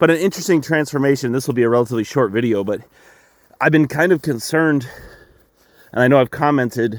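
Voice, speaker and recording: Ordinary pitch variation and a fairly quick pace come through in a very clean recording with a silent background. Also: man. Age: 30s. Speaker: farmer. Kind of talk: casual vlog talk. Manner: halting.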